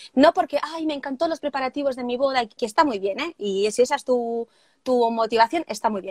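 A woman speaks at a fairly quick pace and high pitch in a dry, close sound with no echo. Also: ordinary pitch variation. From Spain, Barcelona. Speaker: wedding planner and trainer. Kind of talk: casual interview (live stream). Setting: live video stream.

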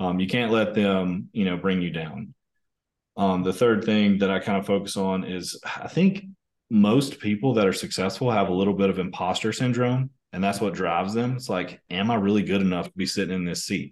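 A man with a Southern US accent, fairly low in pitch, against a quiet background. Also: fairly even intonation, moderate pace. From US South, northern Mississippi. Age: 30s. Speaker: company executive. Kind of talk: interview conversation. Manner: casual, hesitant with fillers.

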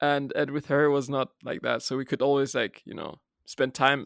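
The speaker is a man with a fairly high voice. He talks at a fairly quick pace. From Germany. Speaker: podcast guest. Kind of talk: casual interview chat. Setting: remote call.

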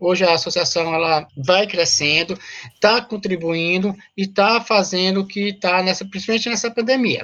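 The speaker is a woman with a plain, everyday voice. She talks at a moderate pace and medium pitch, with ordinary pitch variation. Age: 40s. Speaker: activist, association president. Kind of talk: interview.

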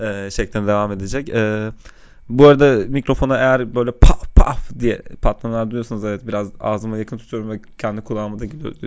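A man talks at a fairly quick pace in a plain, everyday voice, medium in pitch with fairly even intonation. His loudness swings widely. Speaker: software engineer, podcast co-host. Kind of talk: casual chat. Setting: home studio. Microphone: mic held close, popping plosives.

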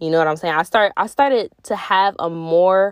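In a dry, close recording with no echo, a woman uses a normal speaking voice at a fairly low pitch. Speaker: podcast host. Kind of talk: casual solo monologue. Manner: laughing often.

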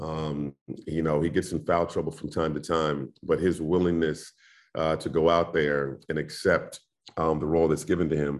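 A man with an American accent and a very deep, low pitch speaks at a moderate pace in a monotone, flat intonation against a quiet background. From Indianapolis, US Midwest. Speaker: basketball play-by-play announcer. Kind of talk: casual interview chat.

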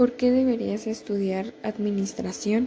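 A woman is speaking. Her pace is fairly slow. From Mexico, State of Mexico (Toluca). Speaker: university student. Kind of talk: class assignment presentation.

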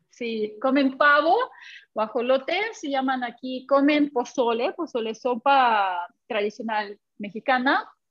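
With a Russian accent, a woman speaks at a very slow pace in a high pitch. Her intonation is lively. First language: Russian (speaking Spanish). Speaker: language teacher. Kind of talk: interview. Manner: halting.

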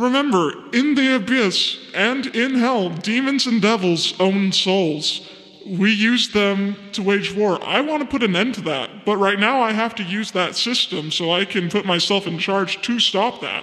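Using a put-on character voice, a man speaks high in pitch at a moderate pace with hardly any pauses, with a clear echo and light background noise. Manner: casual, slangy, exasperated; persuasive, self-assured.

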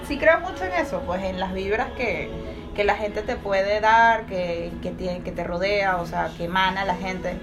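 Music plays in the background as a woman speaks at a medium pitch and a moderate pace, with audible room echo. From Venezuela, Caracas. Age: 30s. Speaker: podcast guest. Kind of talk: casual chat.

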